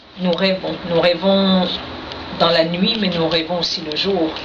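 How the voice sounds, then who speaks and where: Heard with audible room echo and noticeable background noise, a woman with a Quebec accent speaks at a medium pitch with fairly even intonation. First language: Innu (speaking French). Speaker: poet. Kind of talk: radio interview. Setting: radio studio.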